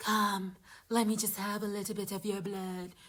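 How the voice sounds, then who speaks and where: A female-sounding put-on character voice speaks at a medium pitch and a moderate pace. Its intonation stays monotone and flat. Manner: creepy, coaxing.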